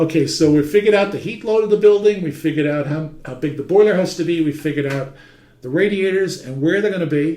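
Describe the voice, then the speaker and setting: In a New York accent, a man races along at a very fast pace with a fairly high pitch and ordinary pitch variation. Audible room echo surrounds him. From New York City (Manhattan). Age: 60s. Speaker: heating trade teacher. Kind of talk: lecture. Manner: conversational.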